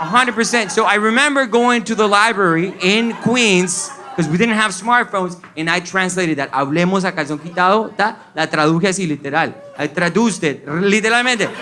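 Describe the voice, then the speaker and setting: Noticeable background noise surrounds a man with a high pitch and ordinary pitch variation. He talks in a raised, projected voice at a fairly quick pace, with hardly any pauses. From Colombia. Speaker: stand-up comedian. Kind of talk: stand-up comedy set.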